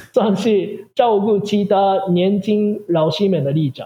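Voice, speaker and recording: At a very slow pace, a man with a Japanese accent talks in a high pitch. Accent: Japanese-accented Mandarin. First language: Japanese (speaking Chinese). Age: 40s. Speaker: Japanese language teacher. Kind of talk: interview. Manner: halting.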